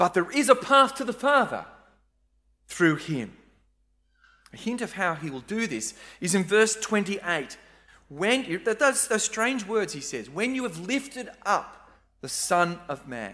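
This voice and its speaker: The recording is very clean, with a silent background. Speech comes at a fairly slow pace with long, frequent pauses. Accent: Australian. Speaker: preacher. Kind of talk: sermon. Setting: church.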